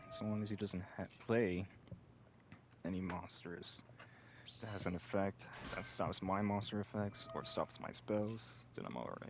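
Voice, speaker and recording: A quiet man with a fairly low voice and ordinary pitch variation speaks at a fairly slow pace, leaving long, frequent pauses, over noticeable background noise. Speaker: gaming video creator. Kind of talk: casual gameplay commentary. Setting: at home, someone next door. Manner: quiet, hushed; relaxed, chill. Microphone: broken mic, may sound poor.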